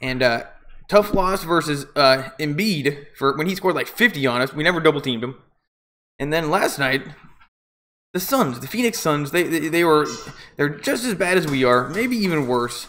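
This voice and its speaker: Loud and at a moderate pace, a man with a fairly high pitch uses lively intonation and takes long, frequent pauses. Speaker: amateur sports play-by-play streamer. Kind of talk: live commentary. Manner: casual, halting with fillers.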